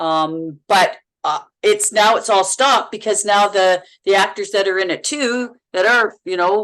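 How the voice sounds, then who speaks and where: Ordinary pitch variation and a moderate pace mark this speaker with a Manitoba accent. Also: woman. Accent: Manitoba accent, sounds Minnesotan. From Manitoba, Canada. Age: 60s. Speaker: actress. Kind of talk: casual chat. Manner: halting, repeats words.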